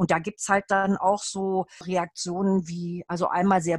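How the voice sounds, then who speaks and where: Somewhat breathy and at medium pitch, a woman speaks at a fairly slow pace, the sound dry and close with no echo. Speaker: Feldenkrais trainee and adult educator. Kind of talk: casual interview.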